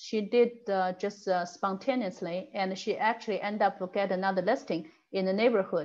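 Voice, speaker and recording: A woman with an ordinary speaking voice at medium pitch, moderate pace and fairly even intonation, in a quiet background. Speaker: title company rep giving a real estate tech class. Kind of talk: online training class.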